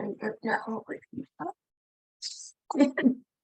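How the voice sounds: In a put-on character voice that sounds raspy, the lines come out at a fairly slow pace. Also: female-sounding voice, high pitch for a woman.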